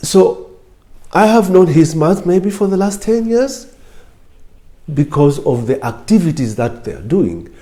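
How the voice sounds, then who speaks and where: The voice carries an East African accent and a dark, mellow tone. It moves at a fairly slow pace with very wide pitch swings. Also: man, long, frequent pauses. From Kenya, Lamu coast. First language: Swahili. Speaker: former lecturer and political official. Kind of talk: interview talk.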